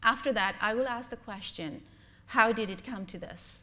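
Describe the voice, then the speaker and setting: Bright and sharp in tone, a woman with a fairly high pitch and lively intonation speaks at a moderate pace amid audible room echo. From Bangladesh. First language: Bengali. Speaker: blogger and humanist lecturer. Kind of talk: lecture. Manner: halting, with many fillers.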